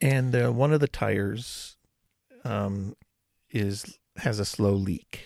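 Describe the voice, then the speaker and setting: A man with an American accent, fairly low pitch, a very slow pace and long, frequent pauses. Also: ordinary pitch variation. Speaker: podcast host. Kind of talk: casual chat.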